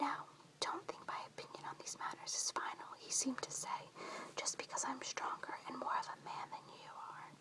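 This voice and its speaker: A woman is whispering. Her pace is moderate. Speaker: whisper reader (ASMR-style). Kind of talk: audiobook reading in a whisper. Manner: whispered, soft.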